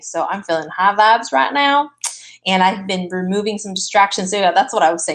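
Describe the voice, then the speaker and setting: Putting on a raspy character voice at a medium pitch, a woman talks at a fairly quick pace in an energetic tone. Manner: speaking very fast, energetic.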